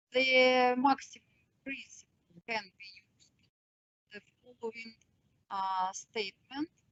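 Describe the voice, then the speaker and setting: A woman at a fairly slow pace, with big swings in loudness, ordinary pitch variation and long, frequent pauses. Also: fairly high pitch for a woman. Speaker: mathematician lecturer. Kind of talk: lecture. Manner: halting, many filler sounds.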